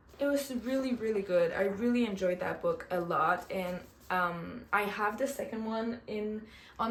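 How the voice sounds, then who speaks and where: There is audible room echo and noticeable background noise as a woman of medium pitch speaks at a moderate pace in a Quebec accent. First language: French. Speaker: book vlogger. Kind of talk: casual book review vlog. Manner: animated.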